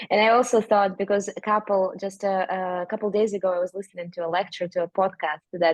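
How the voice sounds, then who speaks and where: The speech has a Russian accent, a moderate pace and fairly even intonation. The sound is dry and close, with no echo. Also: woman. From Siberia, Russia. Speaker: language teacher and author. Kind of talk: casual interview chat. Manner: halting.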